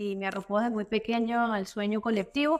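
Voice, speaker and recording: A woman speaks with a Caracas accent. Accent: Venezuelan Spanish (Caracas). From Venezuela, Caracas. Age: 30s. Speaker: political activist. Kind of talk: interview.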